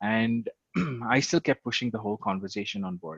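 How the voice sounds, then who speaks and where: A man with an Indian accent speaks at a fairly quick pace and a fairly low pitch. The sound is dry and close, with no echo. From India, Karnataka. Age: 30s. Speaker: LGBTQ advocate. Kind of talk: interview.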